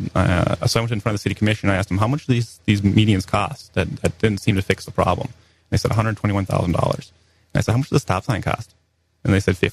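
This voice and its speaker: A man's fairly low, somewhat breathy voice at a very fast pace, with fairly even intonation and a dry, close sound with no echo. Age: 20s. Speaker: political candidate. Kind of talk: radio interview.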